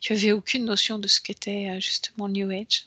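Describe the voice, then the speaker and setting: A woman's bright, sharp, medium-pitched voice comes at a moderate pace with fairly even intonation in a dry, close sound with no echo. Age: 50s. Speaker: hypnotherapist. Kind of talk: hypnosis session.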